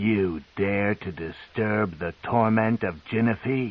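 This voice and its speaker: A man puts on a growling character voice at a fairly low pitch. He delivers it at a fairly slow pace. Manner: snarling, outraged.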